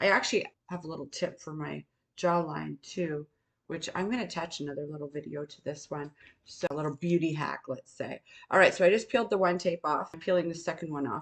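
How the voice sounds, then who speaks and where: In an ordinary speaking voice, a woman talks at a fairly quick pace with a fairly low pitch, ordinary pitch variation and big swings in loudness. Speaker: beauty and skincare content creator. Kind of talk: casual talk to camera, beauty tutorial. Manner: friendly, conversational, explanatory.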